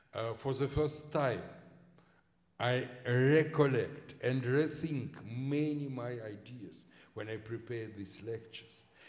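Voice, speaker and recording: A man with a Russian accent speaks at a very slow pace in a medium pitch. Audible room echo surrounds his voice. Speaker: historian. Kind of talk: lecture Q&A. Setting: lecture hall with audience. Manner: halting, many fillers.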